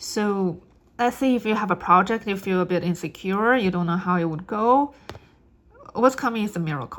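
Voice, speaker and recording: A woman with a non-native accent talks at a moderate pace, her pitch rising and falling in an ordinary way. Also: medium pitch for a woman. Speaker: tarot reader. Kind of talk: spiritual reading monologue. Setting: on camera. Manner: halting.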